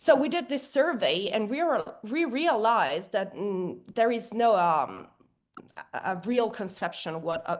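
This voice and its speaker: In an Italian accent, a woman speaks at a fairly slow pace with very wide pitch swings. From Italy. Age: young. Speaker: rock singer and activist. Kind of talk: interview. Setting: podcast. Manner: halting, many fillers.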